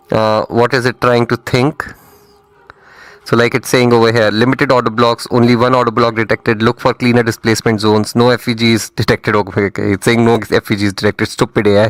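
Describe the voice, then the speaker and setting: A man's medium-pitched voice in an Indian accent, very fast and monotone, with very even loudness and a dry, close sound with no echo. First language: not English (Indian language). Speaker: trading mentor. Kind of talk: live trading stream commentary. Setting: live stream. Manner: casual, conversational.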